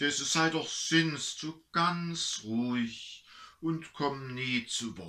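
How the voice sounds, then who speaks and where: A man speaks very slowly with an Erzgebirge accent, his tone bright and sharp. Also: ordinary pitch variation. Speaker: pastor. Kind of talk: dialect story reading. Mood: warm, humorous. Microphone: camera far.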